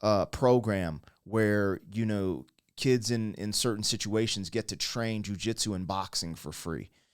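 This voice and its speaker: A man's fairly low voice in an animated tone, at a fairly slow pace with ordinary pitch variation, in a very clean recording with a silent background. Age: 40s. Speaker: YouTube reaction commentator. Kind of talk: casual reaction commentary.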